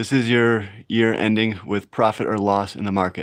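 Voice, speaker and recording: A man's plain, everyday voice at a medium pitch and moderate pace over a quiet background. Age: 40s. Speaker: fitness livestreamer and trader. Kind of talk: live stream chat reading comments. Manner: casual.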